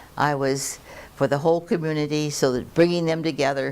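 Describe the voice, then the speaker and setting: A woman speaks at a very deep, low pitch. Her pace is moderate and her pitch varies in an ordinary way. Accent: General American. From US West Coast, Los Angeles. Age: 80s+. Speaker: judge. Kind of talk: interview, life story.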